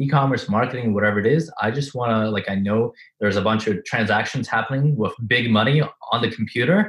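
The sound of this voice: A man with a non-native accent speaks at a fairly low pitch with a slightly husky edge.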